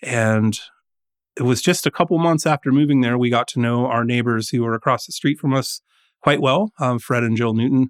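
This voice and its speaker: An unremarkable speaking voice from a man at medium pitch, fairly quick, with ordinary pitch variation, very even loudness and a very clean recording over a silent background. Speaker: winemaker. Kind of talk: casual interview. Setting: studio.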